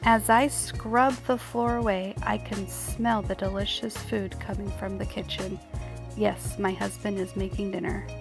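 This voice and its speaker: Music plays in the background as a soft-spoken woman talks. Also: fairly slow pace. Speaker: cleaning vlogger. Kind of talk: voice-over narration of cleaning video. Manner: quiet, soft-spoken.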